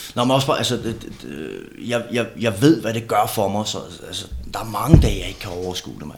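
A man at a fairly quick pace, ordinary pitch variation and big swings in loudness, with audible room echo and noticeable background noise. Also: medium pitch for a man. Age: 30s. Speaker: former bodybuilder and steroid user. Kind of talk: casual chat. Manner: halting, many repeated words.

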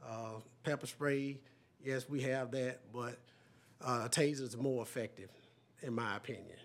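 A man with a Southern US accent, monotone and flat, with long, frequent pauses. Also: medium pitch for a man, moderate pace. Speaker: sheriff. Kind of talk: public meeting.

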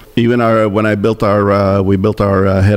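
There is noticeable background noise as a man speaks with monotone, flat intonation. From Italy, raised in Montreal from age 3. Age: 70s. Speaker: fashion entrepreneur. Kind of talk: interview. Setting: studio. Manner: storyteller.

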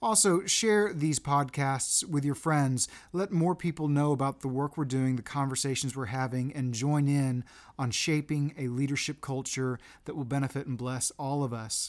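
The recording is very clean, with a silent background. A man uses an ordinary speaking voice pitched fairly high. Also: ordinary pitch variation, moderate pace. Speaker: podcast host. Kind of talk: interview.

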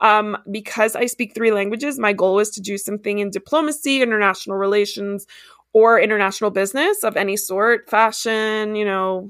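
In a very clean recording with a silent background, a woman speaks in a normal speaking voice with an American accent, fairly high in pitch, with fairly even intonation at a moderate pace. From Miami, Florida, with childhood time in Ecuador. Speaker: pet sitting business owner and podcast host. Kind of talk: casual interview chat.

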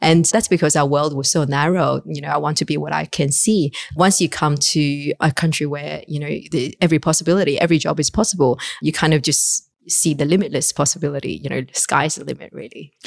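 A woman with a Chinese accent, a very deep, low pitch, and vocal fry speaks at a fairly quick pace with ordinary pitch variation on a very clean recording with a silent background. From China. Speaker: fund manager. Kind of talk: interview.

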